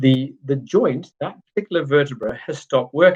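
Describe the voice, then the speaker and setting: Somewhat breathy, a man speaks with a fairly high pitch. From Zimbabwe. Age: 40s. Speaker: chiropractor. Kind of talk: live-stream talk. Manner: slower, less clipped than before.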